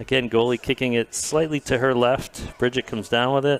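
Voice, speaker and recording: A man with a New England accent, medium pitch and a moderate pace. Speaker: sports commentator. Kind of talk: live commentary. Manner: animated.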